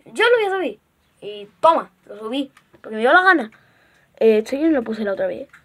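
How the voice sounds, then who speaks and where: A woman speaks in a high pitch. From Spain. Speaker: gaming YouTuber. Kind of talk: gameplay commentary. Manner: animated.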